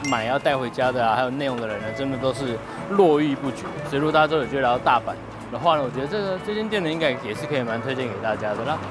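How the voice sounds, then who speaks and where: A man talks at a very fast pace. Clear music plays in the background, and the sound is dry with no echo. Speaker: travel vlogger. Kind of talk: casual vlog chat. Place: street. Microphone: lapel.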